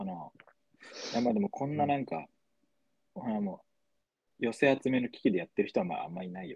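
Speaking at a fairly quick pace, a man swings very widely in pitch and takes long, frequent pauses. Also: medium pitch for a man, big swings in loudness, dry, close sound with no echo. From Tochigi, Japan. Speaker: podcast co-host. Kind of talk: casual chat. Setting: remote recording, hosts in different places. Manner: animated.

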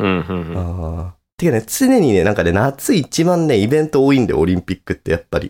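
A man with a fairly low pitch and a dark, mellow tone talks at a fairly quick pace with very wide pitch swings. The recording is very clean, with a silent background. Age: 30s. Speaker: podcast co-host. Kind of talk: casual chat.

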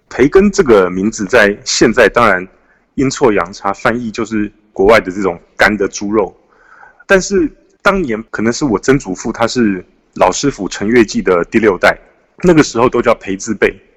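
In a Taiwanese accent, a man at medium pitch speaks at a moderate pace with lively intonation, the sound dry and close with no echo. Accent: Taiwanese Mandarin. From Taiwan, Taipei. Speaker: author. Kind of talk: interview.

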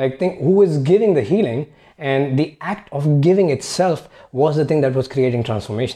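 This man has a fairly high pitch and a dark, mellow tone, speaking at a moderate pace with ordinary pitch variation. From India. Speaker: founder of a personal development company. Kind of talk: casual interview conversation.

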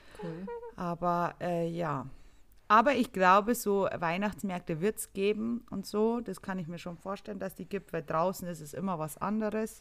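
In a very clean recording with a silent background, a woman with an ordinary speaking voice speaks at a medium pitch and moderate pace, with ordinary pitch variation and big swings in loudness. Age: 30s. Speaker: podcast co-host, nurse. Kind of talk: casual chat.

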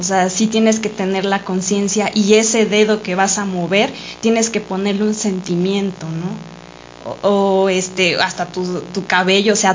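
A woman speaks at a medium pitch and a very slow pace. Her intonation is monotone and flat. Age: 30s. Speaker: dancer. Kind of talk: casual chat.

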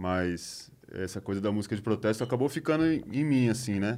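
Here a man speaks in an ordinary speaking voice. His pitch is fairly low and his pace fairly quick. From ABC Paulista, São Paulo, Brazil. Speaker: musician. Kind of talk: casual chat.

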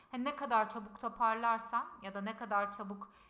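A woman's fairly high voice at a moderate pace, with fairly even intonation. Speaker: podcast co-host. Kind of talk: casual chat. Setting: in-person shared microphone. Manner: loud, straining voice. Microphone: picks her up quieter than co-host.

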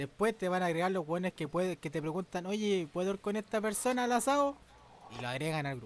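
Speaking very fast with a Chilean accent, a man uses a high pitch, lively intonation and an animated tone. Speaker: podcast host. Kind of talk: casual chat.

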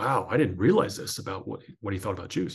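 This man talks fairly quickly with an American accent, sounding somewhat breathy. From US, northern New Jersey. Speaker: author and former sports broadcaster. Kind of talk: interview testimony.

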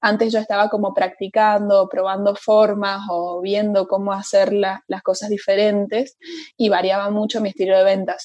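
A woman's medium-pitched voice in monotone, flat intonation. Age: 20s. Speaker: hotel sales worker. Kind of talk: podcast interview. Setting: video call.

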